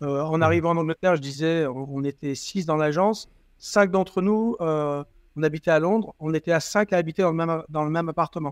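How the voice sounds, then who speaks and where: Against a quiet background, a man with an unremarkable speaking voice and a fairly high pitch talks at a fairly quick pace with fairly even intonation, the sound dry and close with no echo. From southern France, Toulon. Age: 50s. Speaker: company CEO. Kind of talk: interview.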